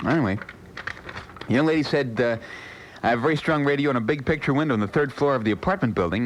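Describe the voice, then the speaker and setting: The speech comes at a very fast pace with lively intonation over noticeable background noise. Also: man. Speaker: radio disc jockey. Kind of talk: overnight radio show banter. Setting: AM radio broadcast. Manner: relaxed, conversational.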